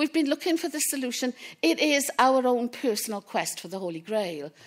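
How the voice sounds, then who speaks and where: A woman with a Welsh accent speaks at a high pitch and a fairly quick pace. Her pitch swings are very wide. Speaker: public procurement specialist. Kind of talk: conference talk.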